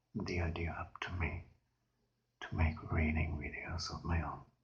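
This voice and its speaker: Music plays in the background as the speaker talks at a fairly slow pace. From Germany. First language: German. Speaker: ASMR creator. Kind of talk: ASMR reading aloud; casual intro. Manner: soft-spoken.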